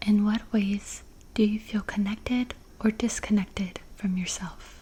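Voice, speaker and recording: Soft-spoken and calm in tone, a woman talks at a fairly slow pace with medium pitch and monotone, flat intonation. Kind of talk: ASMR personal-attention roleplay asking gentle questions for sleep. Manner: soft-spoken, calm.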